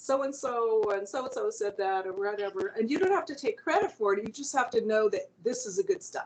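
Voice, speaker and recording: High-pitched and fairly quick, a woman speaks with very wide pitch swings. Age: 60s. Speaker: singer-songwriter and artist. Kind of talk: casual interview chat. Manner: halting, many repeated words and fillers.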